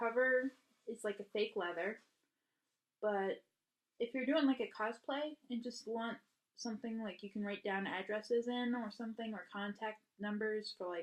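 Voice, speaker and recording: This woman's pitch is fairly high. She keeps a moderate pace with fairly even intonation. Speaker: YouTuber. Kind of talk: unboxing video. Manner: hesitant with many ums.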